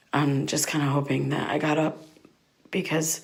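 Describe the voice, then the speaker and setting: Audible room echo surrounds a woman whose voice is very deep and low. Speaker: podcast host. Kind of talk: first-person audio diary. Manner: hesitant, filler-heavy.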